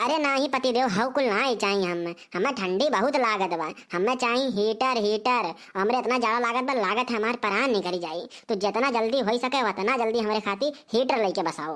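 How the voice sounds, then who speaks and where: The delivery moves at a moderate pace. It is a cartoonish character voice. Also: woman, fairly high pitch for a woman. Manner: rambling, talkative.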